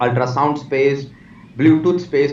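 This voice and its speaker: A man talks with a fairly high pitch. There is audible room echo. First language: not English. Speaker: technology executive and author. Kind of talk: interview. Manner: halting.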